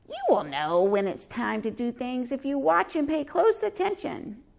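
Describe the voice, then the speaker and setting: In a put-on character voice, the speaker goes at a moderate pace, with a fairly high pitch and very wide pitch swings. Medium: read story.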